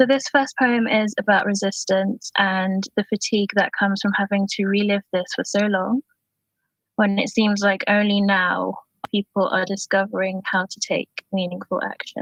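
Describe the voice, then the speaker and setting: A somewhat breathy, shaky female voice at a moderate pace, with fairly even intonation. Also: medium pitch for a woman. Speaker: poet. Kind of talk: personal introduction; poetry reading. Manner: shaky voice.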